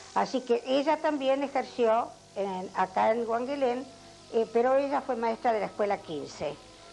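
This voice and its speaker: Music plays in the background as a woman speaks at a fairly slow pace. Her voice is high-pitched, with lively intonation. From Argentina, Azul (Buenos Aires province). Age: 80s+. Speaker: retired schoolteacher. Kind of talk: oral history interview. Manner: halting, with many fillers.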